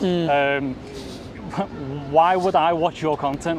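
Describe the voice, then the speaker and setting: A man with a fairly high pitch and fairly even intonation over noticeable background noise. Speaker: podcast host, travel vlogger. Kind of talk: podcast interview, casual talk.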